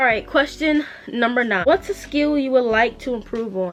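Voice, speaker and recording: A woman speaks with lively intonation over music playing in the background. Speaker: small business owner and vlogger. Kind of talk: casual chat. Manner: stutters when unsure; fast, rambling.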